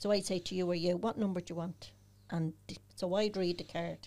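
A woman's medium-pitched voice, monotone and flat, at a fairly quick pace. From Dublin inner city (the Liberties flats). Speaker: holistic therapist and medium. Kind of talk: casual interview chat.

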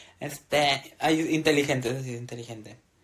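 His voice is somewhat breathy. The man speaks at a medium pitch. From northern Mexico. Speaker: podcast co-host. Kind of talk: casual chat. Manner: animated.

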